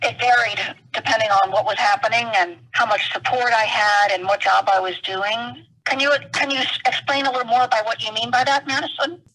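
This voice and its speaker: Here is a woman with a normal speaking voice at a fairly high pitch. She keeps a moderate pace with ordinary pitch variation. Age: 60s. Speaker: retired rehab counselor, blind interviewee. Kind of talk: interview.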